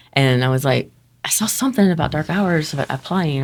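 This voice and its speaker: With a Texan accent, a woman speaks at a very fast pace with ordinary pitch variation. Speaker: haunted house actor. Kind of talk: casual chat. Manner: animated.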